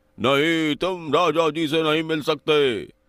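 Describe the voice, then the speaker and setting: A cartoonish character voice from a man, fairly high in pitch and at a fairly slow pace. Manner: haughty, commanding.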